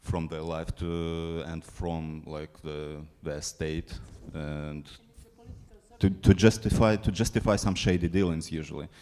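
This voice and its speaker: With a non-native accent and a dark, mellow tone, the speaker talks fairly slowly with fairly even intonation and big swings in loudness. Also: man, very deep, low pitch for a man. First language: not English. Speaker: film programmer. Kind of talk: panel discussion. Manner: halting.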